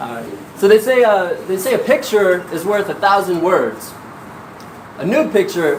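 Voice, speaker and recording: A man speaks at a moderate pace with a high pitch and lively intonation. Long pauses come often, over noticeable background noise. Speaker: stand-up comedian and resident physician. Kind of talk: stand-up comedy set.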